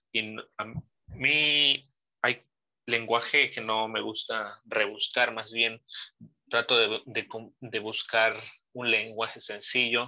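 Very slowly, a man speaks with long, frequent pauses and a monotone, flat intonation. His tone is bright and sharp, over a quiet background. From Mexico. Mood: reflective, nostalgic. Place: home room. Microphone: video call.

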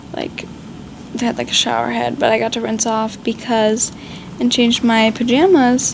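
Noticeable background noise is present. Through it, a woman talks at a fairly slow pace. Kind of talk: casual vlog chat. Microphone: phone near.

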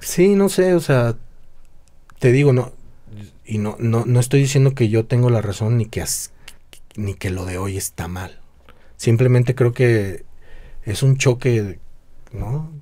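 The delivery is fairly slow, with long, frequent pauses and lively intonation. The tone is dark and mellow, somewhat breathy, over a quiet background. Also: man. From Mexico, Guadalajara; Jalisco, Mexico. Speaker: drummer and music teacher; music teacher. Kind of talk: casual chat. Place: home room. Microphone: studio mic.

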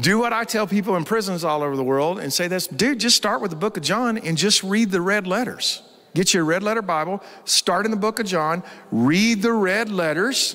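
A man speaks at a moderate pace in a high voice. His pitch varies in an ordinary way, and the background is quiet. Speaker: pastor. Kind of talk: sermon. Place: stage. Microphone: handheld.

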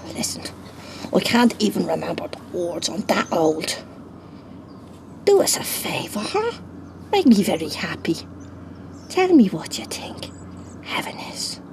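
A female-sounding voice does a put-on character voice, raspy and fairly high for a woman. She goes at a fairly slow pace over clear background noise. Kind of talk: comic monologue. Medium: puppet show. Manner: chatty, wheedling, insistent.

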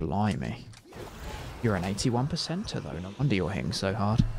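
A fairly low-pitched man with a British accent and lively intonation, amid noticeable background noise. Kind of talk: casual gaming commentary. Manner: soft-spoken, relaxed.

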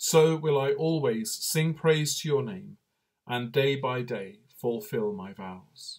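A man's fairly high, somewhat breathy voice in a calm tone, with lively intonation, big swings in loudness and a very slow pace, over a quiet background. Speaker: priest leading online night prayer. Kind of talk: fervent prayer; liturgical prayer and short reflection. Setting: online video broadcast during lockdown. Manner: earnest, fervent, intoning psalm in devout tone; slow, calm, reverent. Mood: calm, reverent. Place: home room. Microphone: webcam.

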